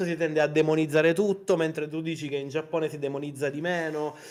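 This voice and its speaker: A man delivers his words very fast in a passionate tone, yet his intonation stays monotone and flat. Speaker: indie game developer and artist, guest in interview. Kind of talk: interview answer, casual conversational talk. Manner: fast, expressive, passionate, rambling.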